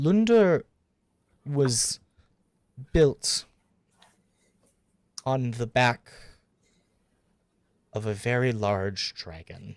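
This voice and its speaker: Using a put-on character voice at a medium pitch, a man speaks very slowly with lively intonation, a strained sound, and long, frequent pauses. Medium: actual play. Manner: strained composure, nervous.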